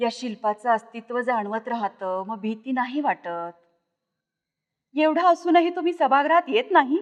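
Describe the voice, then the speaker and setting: A woman's high voice moves through very wide pitch swings. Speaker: professor and story reader. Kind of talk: story reading (abhivachan), narration with character dialogue. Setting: recorded reading for a literary series.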